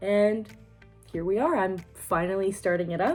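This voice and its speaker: Music plays behind a woman with a Canadian accent. Her voice is fairly low, with ordinary pitch variation. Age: 20s. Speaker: beauty vlogger. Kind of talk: casual talk to camera.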